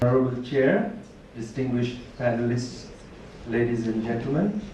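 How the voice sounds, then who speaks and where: Over noticeable background noise and audible room echo, a man with a medium-pitched voice talks at a moderate pace with ordinary pitch variation. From Chittagong Hill Tracts, Bangladesh. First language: Tripura. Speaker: university lecturer. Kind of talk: conference talk.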